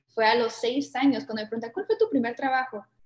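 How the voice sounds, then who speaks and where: This high-pitched woman's speech shows ordinary pitch variation. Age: 20s. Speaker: architect and entrepreneur. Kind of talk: casual interview.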